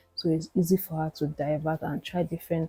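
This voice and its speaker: A quiet, calm voice at a fairly quick pace with music in the background. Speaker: reaction video creator. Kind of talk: commentary on an interview.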